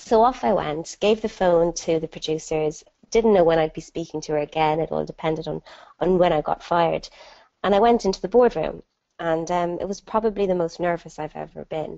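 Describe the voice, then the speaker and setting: With an Irish accent, a woman talks at a fairly quick pace, her pitch fairly low and its variation ordinary. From Ireland. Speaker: entrepreneur and dyslexia ambassador. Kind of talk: webinar talk. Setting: online webinar. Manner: animated storytelling.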